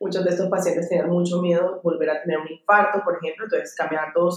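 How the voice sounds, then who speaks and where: A woman talks in a fairly low voice, her pitch varying in an ordinary way. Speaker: clinical psychologist. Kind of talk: casual chat.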